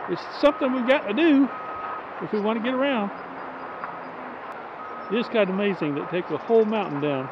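Someone talks at a fairly quick pace, the sound dry with no echo but loud background noise behind it. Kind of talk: casual vlog chat. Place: open country. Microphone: phone near.

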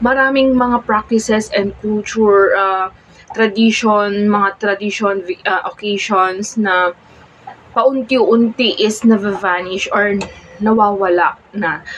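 A woman speaks very slowly in a fairly high voice with fairly even intonation. Noticeable background noise sits behind her. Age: 20s. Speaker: vlogger. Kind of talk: casual vlog monologue. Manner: halting.

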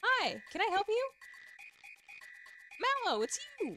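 Someone uses a put-on character voice at an extremely high pitch and a moderate pace. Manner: odd, silly.

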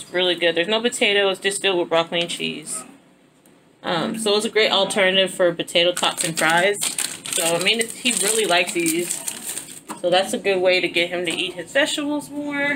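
Over noticeable background noise, a woman speaks at a fairly quick pace with ordinary pitch variation. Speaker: mother vlogger. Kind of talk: casual vlog chat. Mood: relaxed, warm. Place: home room. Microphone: phone near.

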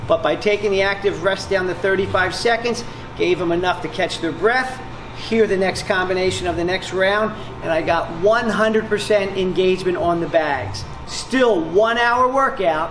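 Over noticeable background noise, a man speaks at a high pitch and a moderate pace with ordinary pitch variation. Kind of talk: interview answer. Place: gym.

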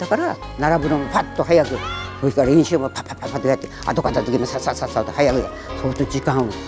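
Over clear background music, a woman speaks at a very deep, low pitch with ordinary pitch variation. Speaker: naginata federation chairwoman, retired teacher. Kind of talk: instructive talk to children. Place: gym.

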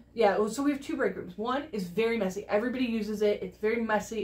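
A woman talks at a very fast pace with ordinary pitch variation. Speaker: crafting video co-host. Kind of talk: casual vlog chat. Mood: cheerful, laughing. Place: home room.

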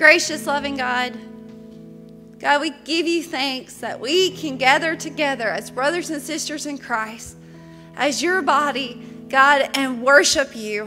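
A woman projects her voice at a fairly slow pace with ordinary pitch variation, faint music playing in the background. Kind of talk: spoken prayer. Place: church. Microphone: podium.

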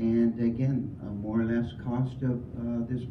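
Through noticeable background noise, a man speaks at a medium pitch. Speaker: audience member commenting. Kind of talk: public comment. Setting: public meeting with audience mic.

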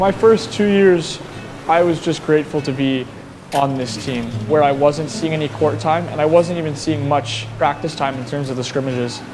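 Music plays behind a man whose moderate-paced speech shows ordinary pitch variation. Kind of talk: interview answer. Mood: reflective, earnest. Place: stadium.

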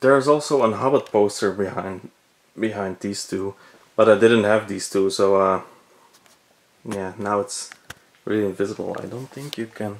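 A man's fairly low voice in a Belgian accent at a moderate pace, with big swings in loudness and long, frequent pauses. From Belgium. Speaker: movie collector, cinema projectionist, video blogger. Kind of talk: casual video tour. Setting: indoors at home, video recording in room. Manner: enthusiastic, slightly hesitant with repeated words. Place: home room. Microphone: phone near.

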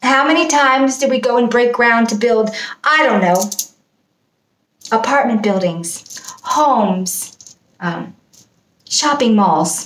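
A woman with a high pitch speaks at a fairly slow pace. Audible room echo surrounds her voice against a quiet background. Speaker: video blogger. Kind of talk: casual vlog chat. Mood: mocking, amused. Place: home room. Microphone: webcam.

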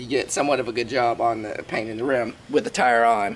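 A man talking at a fairly quick pace over loud background noise. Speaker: DIY channel host. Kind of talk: tutorial. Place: street.

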